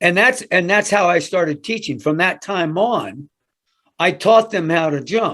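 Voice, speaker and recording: The man's voice is high-pitched, with a bright, sharp tone. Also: ordinary pitch variation, fairly slow pace. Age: 70s. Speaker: weightlifting coach. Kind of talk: podcast interview. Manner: animated storytelling.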